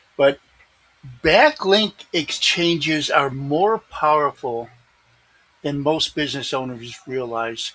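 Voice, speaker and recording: A man speaking at a very slow pace, with long, frequent pauses and ordinary pitch variation. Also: fairly high pitch for a man. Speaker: SEO expert and video presenter. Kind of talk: screen-share tutorial reading from own article with ad libs. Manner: ad-libbed, conversational.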